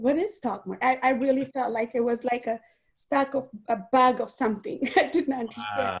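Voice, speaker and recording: A woman with a non-native accent talks at a fairly quick pace. Her voice is fairly high, with ordinary pitch variation. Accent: foreign. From outside the US, immigrant. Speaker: guest speaker, network marketing leader. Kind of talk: interview on an online training call.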